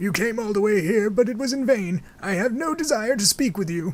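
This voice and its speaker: In a put-on character voice, a man speaks with a high pitch, lively intonation and a fairly quick pace. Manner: dramatic, dismissive.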